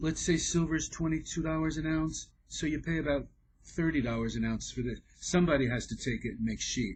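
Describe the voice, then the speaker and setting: Somewhat breathy, a man with a fairly high pitch speaks at a moderate pace with ordinary pitch variation. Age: 60s. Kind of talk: tutorial. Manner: casual, halting.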